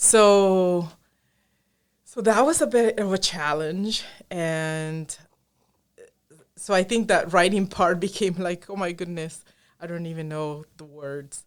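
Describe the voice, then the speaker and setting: A woman's very slow speech with a Spanish accent, at a fairly low pitch with ordinary pitch variation, long, frequent pauses and big swings in loudness, on a very clean recording with a silent background. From Colombia. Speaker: engineering professor. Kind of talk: podcast interview.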